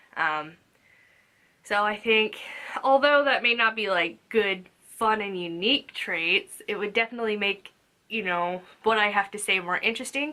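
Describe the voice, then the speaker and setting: An American accent at a moderate pace, bright and sharp in tone, with ordinary pitch variation and long, frequent pauses, in a very clean recording with a silent background. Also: woman, medium pitch for a woman. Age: 20s. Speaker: booktuber, Air Force veteran. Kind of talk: casual vlog monologue. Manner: casual, hesitant with fillers.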